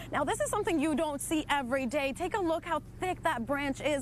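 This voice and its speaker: A woman talks at a fairly quick pace with lively intonation, and noticeable background noise can be heard. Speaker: bilingual TV news reporter. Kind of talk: live breaking-news field report.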